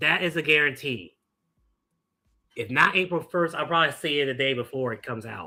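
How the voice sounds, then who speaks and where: An animated man speaks at a fairly quick pace, with a fairly high pitch, a bright, sharp tone and ordinary pitch variation. He leaves long, frequent pauses, and the recording is very clean with a silent background. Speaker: streamer reacting to live sports. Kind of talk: live reaction commentary.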